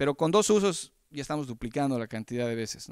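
A man speaking at a fairly quick pace, dry sound with no echo, quiet background. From Bolivia. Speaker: entrepreneur; presenter. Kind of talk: pitch presentation; presentation talk. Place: hall. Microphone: handheld.

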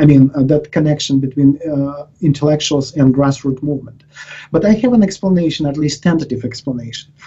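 This man's voice is fairly high, somewhat breathy and dark and mellow in tone. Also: ordinary pitch variation. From Ukraine. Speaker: professor. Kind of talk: interview. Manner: halting, with many repetitions and fillers. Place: office. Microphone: headset.

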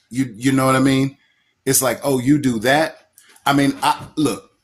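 Here a man is speaking. His pace is fairly slow. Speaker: caller. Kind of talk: casual political discussion. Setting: live call. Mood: earnest, conversational. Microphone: phone near.

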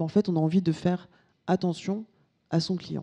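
Her voice has a dark, mellow tone as a woman speaks against a quiet background. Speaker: business speaker, solution founder; keynote speaker. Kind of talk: conference keynote. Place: hall. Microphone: handheld.

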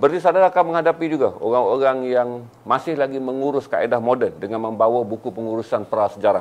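A man talks at a very fast pace, his pitch medium with ordinary variation. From Malaysia. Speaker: business motivational speaker; motivational speaker. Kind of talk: live-stream talk. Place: studio. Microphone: lapel.

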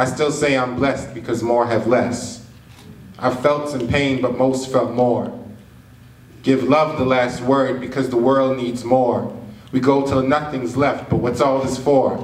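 Audible room echo fills the space around a man's voice. His intonation stays monotone and flat. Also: fairly slow pace. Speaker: slam poet. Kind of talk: spoken word poetry performance. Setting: live stage, cinema venue. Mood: earnest, reflective.

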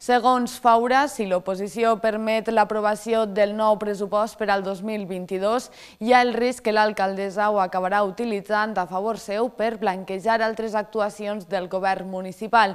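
A woman with a fairly high voice talks at a fairly slow pace in a flat monotone against a quiet background. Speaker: news anchor. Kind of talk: news reading. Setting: studio. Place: studio.

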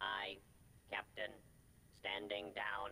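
The voice is a put-on character voice with a low pitch. Clear background noise runs underneath. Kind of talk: game character dialogue. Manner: obedient, standing down.

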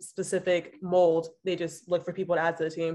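A woman talks with an American accent at a moderate pace. Her pitch is fairly low, and the background is quiet. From San Francisco, California. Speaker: former college rower and graduate student; panelist. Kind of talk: panel discussion on video call. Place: home room. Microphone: video call.

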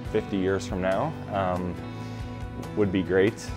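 A man's very deep, low voice at a fairly slow pace, with clear music in the background. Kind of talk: interview answer. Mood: earnest, reflective. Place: home room. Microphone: lapel.

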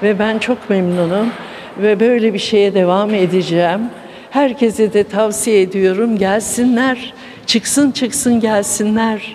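Over light background noise, a woman with a fairly high voice speaks at a very slow pace, with fairly even intonation and very even loudness. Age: 70s. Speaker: table tennis enthusiast. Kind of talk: news interview. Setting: sports hall. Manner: hesitant, many fillers. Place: gym. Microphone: handheld.

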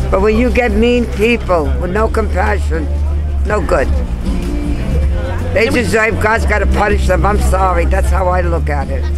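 With clear music in the background, a woman talks at a moderate pace and leaves long, frequent pauses. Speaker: elderly tenant fighting eviction. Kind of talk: interview answer. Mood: aggrieved, indignant. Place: street.

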